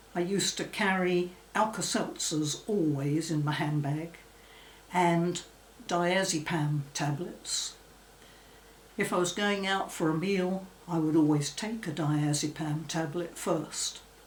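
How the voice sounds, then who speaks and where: A woman's fairly low, fairly evenly intoned voice at a very slow pace, with audible room echo. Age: 80s+. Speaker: former phobia sufferer. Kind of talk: testimony.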